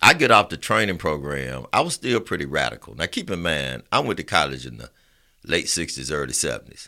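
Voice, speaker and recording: On a very clean recording with a silent background, a man with a very deep, low pitch and a bright, sharp tone uses lively intonation, vocal fry and big swings in loudness. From Alabama, Roosevelt City near Birmingham. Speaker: small business lending executive. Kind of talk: casual interview chat.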